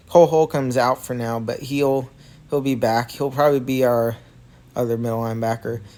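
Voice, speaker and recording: Moderate-paced speech from a man, very clean recording, silent background. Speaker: sports fan vlogger. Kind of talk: casual commentary. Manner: hesitant, many fillers.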